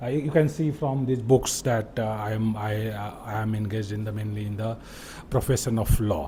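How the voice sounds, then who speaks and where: A man speaks with a Bihari accent. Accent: Indian English, Bihari. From India, Bihar. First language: Bhojpuri. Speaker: lawyer and video host. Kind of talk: unscripted monologue. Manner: halting, many fillers.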